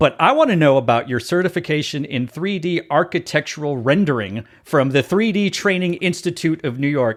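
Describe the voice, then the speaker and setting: On a very clean recording with a silent background, a man with an American accent and an ordinary speaking voice talks at a moderate pace, his fairly high voice carrying lively intonation. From Texas. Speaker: podcast host. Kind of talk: casual interview chat.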